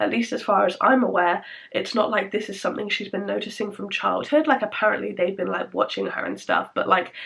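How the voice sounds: Speaking at a fairly quick pace, a woman uses a fairly bright tone, big pitch swings and vocal fry. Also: medium pitch for a woman.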